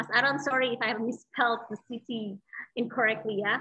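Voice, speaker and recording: A woman speaks with an Indonesian accent and ordinary pitch variation. The background is quiet. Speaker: moderator. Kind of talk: formal introduction; Q&A moderation. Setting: video call. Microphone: video call.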